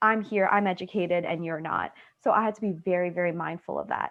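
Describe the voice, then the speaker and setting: Speaking fairly quickly, a woman uses an unremarkable speaking voice, her pitch medium and varying in an ordinary way. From Canada, Trinidadian family. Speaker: graduate student researcher. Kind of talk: panel Q&A answer.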